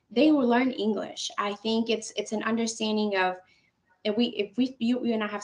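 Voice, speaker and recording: She has a Spanish accent and a fairly high pitch. The woman talks at a fairly quick pace. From Colombia, raised in Alabama from age five. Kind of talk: podcast interview. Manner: halting.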